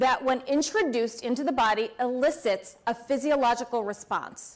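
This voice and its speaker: At a fairly slow pace, a woman is talking. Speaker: pharmacist and nursing school lecturer. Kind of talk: award talk to an audience. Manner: loud.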